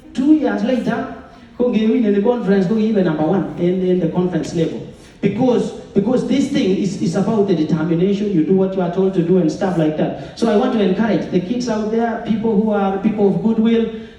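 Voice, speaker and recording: Fairly quick delivery, ordinary pitch variation and very even loudness, with noticeable background noise and audible room echo. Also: man, high pitch for a man. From Kenya. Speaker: former athlete and mentor. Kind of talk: public speech. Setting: event with audience and mic. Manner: fast.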